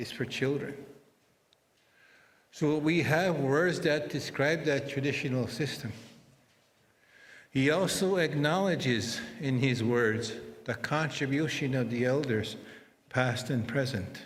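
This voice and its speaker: In a room with audible echo, a man talks at a fairly slow pace with long, frequent pauses, using a fairly high, somewhat breathy voice and ordinary pitch variation. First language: Anishinaabemowin (Ojibwe). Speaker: interpreter. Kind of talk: ceremonial speech.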